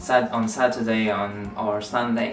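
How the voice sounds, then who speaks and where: Someone speaks with a Spanish accent over noticeable background noise. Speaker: YouTuber, K-pop fan vlogger. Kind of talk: casual vlog talk. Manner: halting, many fillers.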